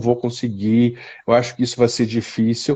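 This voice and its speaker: A man's dark, mellow tone at a moderate pace. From southern Brazil, Curitiba. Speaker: psychotherapist. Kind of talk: interview on a live stream. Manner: halting, many repetitions.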